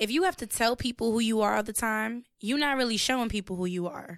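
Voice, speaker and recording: A woman speaks at a fairly high pitch on a very clean recording with a silent background. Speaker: podcast co-host and musician. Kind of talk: casual chat. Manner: drawls word endings.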